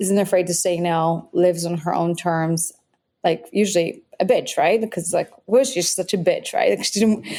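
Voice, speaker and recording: A woman with a Polish accent speaks in a fairly low pitch with a dark, mellow tone. Her pace is moderate and her pitch varies in an ordinary way. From Poland. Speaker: biohacking author. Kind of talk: podcast interview. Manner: animated.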